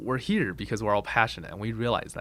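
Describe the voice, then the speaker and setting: A man speaks at a very fast pace. His fairly low voice carries vocal fry. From China, moved to Boulder, Colorado at ten. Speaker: video game company founder. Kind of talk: interview. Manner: hesitant, many fillers.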